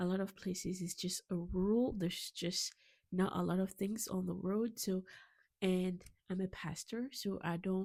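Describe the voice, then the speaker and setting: Over a very clean recording with a silent background, a woman speaks at medium pitch in a dark, mellow tone with monotone, flat intonation. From Africa. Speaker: pastor. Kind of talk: personal story vlog. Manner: hesitant, many fillers.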